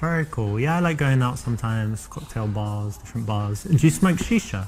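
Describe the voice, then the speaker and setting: Music plays behind a man speaking at a medium pitch. His pace is fairly quick and his intonation lively. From South London, England. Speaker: dating coach. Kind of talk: tutorial; casual chat.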